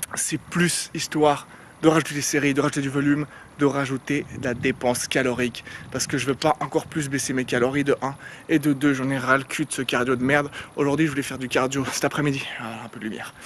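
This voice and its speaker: A man's fairly high voice at a very fast pace, monotone and flat in intonation. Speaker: fitness vlogger. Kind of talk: casual vlog talk. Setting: outdoors.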